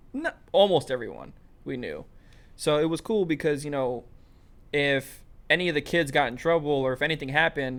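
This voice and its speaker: Very cleanly recorded with a silent background, a man with a New York accent speaks at a fairly high pitch with ordinary pitch variation. He moves at a fairly quick pace but leaves long, frequent pauses. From US Northeast, Brooklyn, New York. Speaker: podcast host. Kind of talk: casual chat.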